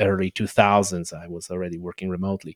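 Someone speaks with a Polish accent. The recording is very clean with a silent background, and the sound is dry and close with no echo. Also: man. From Poland. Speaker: podcast host. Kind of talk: casual interview. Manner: halting, hesitant with fillers.

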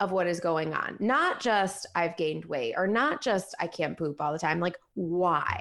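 Using an ordinary speaking voice, a woman talks at a fairly slow pace with lively intonation. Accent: American. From Ohio, US Midwest. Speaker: functional dietitian and business coach. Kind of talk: casual interview.

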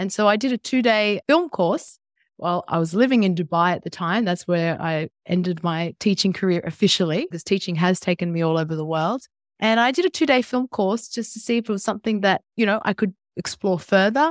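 A woman with an Australian accent speaks at medium pitch and a fairly quick pace, her intonation lively. The sound is dry and close with no echo, and the recording is very clean with a silent background. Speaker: entrepreneur, former teacher. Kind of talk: interview.

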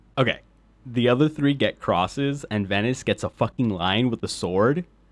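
Lively in intonation, a man speaks at a moderate pace and a medium pitch. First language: Spanish. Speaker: history podcaster. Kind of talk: scripted narration.

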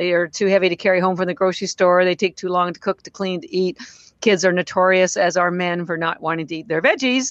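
A woman at a very fast pace, her intonation fairly even. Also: medium pitch for a woman. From Canada. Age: 60s. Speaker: company founder. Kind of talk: casual interview.

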